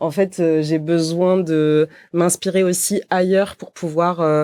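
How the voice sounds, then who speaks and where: This woman talks at a very slow pace in a monotone, flat intonation and a fairly low pitch, recorded very cleanly against a silent background with a dry, close sound and no echo. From southern France, Montpellier. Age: 30s. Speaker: company co-founder and CEO. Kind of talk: podcast interview. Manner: hesitant, many fillers.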